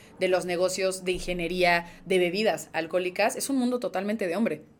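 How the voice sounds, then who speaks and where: A woman with a normal speaking voice at medium pitch, fairly even intonation and a fairly quick pace. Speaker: podcast host. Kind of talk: casual interview.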